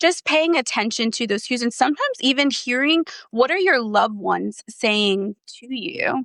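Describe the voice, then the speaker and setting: With an American accent, a woman speaks at a fairly high pitch in a bright, sharp tone with lively intonation, the sound dry and close with no echo. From New Jersey. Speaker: therapist and former foster youth. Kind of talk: podcast interview.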